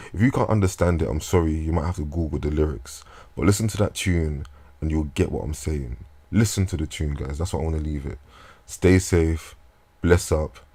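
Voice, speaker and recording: A man's dark, mellow, somewhat breathy voice at a fairly quick pace, with ordinary pitch variation, in a very clean recording with a silent background. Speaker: vlogger. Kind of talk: casual monologue. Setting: talking into a microphone at home. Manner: halting.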